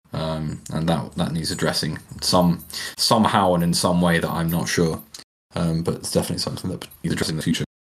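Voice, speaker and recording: Speaking at a very fast pace, a man with a British accent uses a very deep, low pitch and fairly even intonation. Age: 30s. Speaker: podcast co-host. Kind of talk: casual chat.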